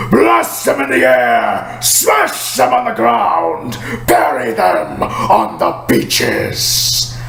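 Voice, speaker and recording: A man uses a put-on character voice at a very slow pace. A slight echo can be heard. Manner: commanding, shouting.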